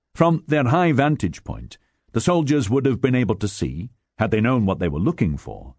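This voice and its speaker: This man speaks at a medium pitch and a moderate pace, with vocal fry and very wide pitch swings. His tone is dramatic. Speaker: audiobook narrator. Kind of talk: audiobook narration of nonfiction history, read aloud from a script. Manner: dramatic, measured, storytelling delivery with gravitas.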